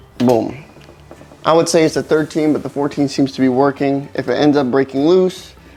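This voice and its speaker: With noticeable background noise around him, this man talks at a moderate pace, keeping his fairly high pitch in fairly even intonation. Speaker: car repair how-to presenter. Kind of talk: tutorial. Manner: casual, filler-heavy.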